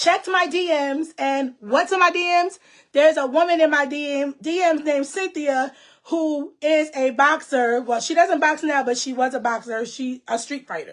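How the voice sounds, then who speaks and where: A loud woman speaks at a moderate pace with a high pitch and ordinary pitch variation. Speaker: online show host. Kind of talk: casual chat.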